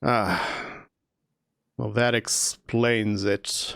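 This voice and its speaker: The man's put-on character voice comes out raspy and fairly low in pitch. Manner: subdued, quiet.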